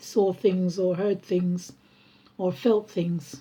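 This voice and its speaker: Speaking very slowly, a woman uses a medium pitch with a somewhat breathy quality. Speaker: vlogger and musician. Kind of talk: casual personal vlog. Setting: at home. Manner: halting, many fillers.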